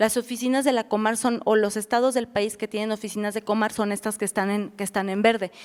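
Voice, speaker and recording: A woman's fairly high, monotone, flat voice at a very fast pace. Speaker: refugee protection officer. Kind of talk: lecture.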